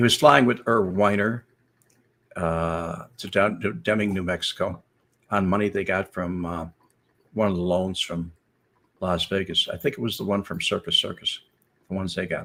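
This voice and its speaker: Speaking in a bright, sharp tone at a fairly low pitch, a man keeps a moderate pace with ordinary pitch variation and long, frequent pauses on a very clean recording with a silent background. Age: old. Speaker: former FBI informant. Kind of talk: casual storytelling livestream.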